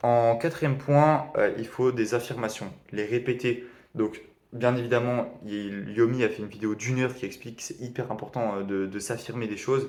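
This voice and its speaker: Fairly even intonation shapes the man's speech at a medium pitch. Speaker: e-commerce beginner vlogger. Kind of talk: video diary summary of a training course. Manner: fast; hesitant, many fillers.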